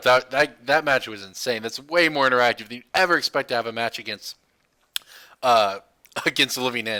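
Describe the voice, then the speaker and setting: Putting on a raspy character voice, a man talks fairly quickly at a medium pitch, his loudness swinging widely. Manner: animated, enthusiastic.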